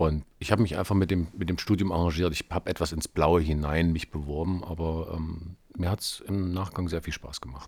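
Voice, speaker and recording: The speech runs at a moderate pace with hardly any pauses. Intonation stays fairly even. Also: man, very deep, low pitch for a man. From Thuringia, Germany (Erfurt). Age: 30s. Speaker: cabaret artist. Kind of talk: interview testimony about career.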